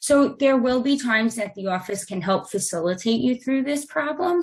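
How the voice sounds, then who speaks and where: At a moderate pace, a woman speaks with lively intonation. Her voice is somewhat breathy. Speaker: real estate transaction manager. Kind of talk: training presentation.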